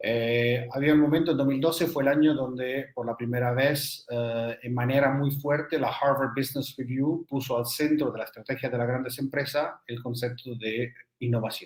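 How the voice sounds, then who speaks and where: Hardly pausing at all, a man talks at a moderate pace in a monotone, flat intonation. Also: medium pitch for a man. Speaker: energy business consultant. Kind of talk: interview. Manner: halting.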